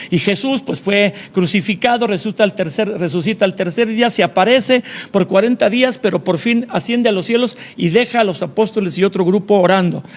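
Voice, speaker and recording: There is noticeable background noise in this clip. A man with a high pitch talks at a fairly quick pace, with ordinary pitch variation. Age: 60s. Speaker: pastor. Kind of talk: interview.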